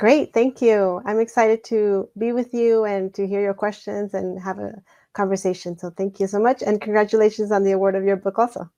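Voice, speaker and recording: With a Spanish accent and a dark, mellow tone, a woman speaks at a fairly quick pace and medium pitch in a monotone, flat intonation, the sound dry and close with no echo over a quiet background. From Mexico, raised in Douglas, Arizona. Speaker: education scholar and author. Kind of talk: interview.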